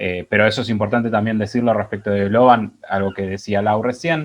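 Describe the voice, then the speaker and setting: This man's voice sits at a fairly low pitch, and his intonation stays fairly even. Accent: Argentine. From Argentina. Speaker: digital marketing strategist; webinar presenter. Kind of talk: presentation. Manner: hesitant, many fillers. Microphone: earbuds.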